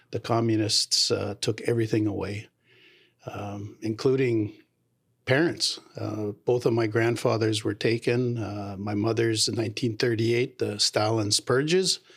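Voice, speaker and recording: A man with a Canadian accent, medium pitch and a somewhat breathy voice, at a fairly slow pace with fairly even intonation. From Canada, Abbotsford, British Columbia. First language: Low German. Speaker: mayor. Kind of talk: interview.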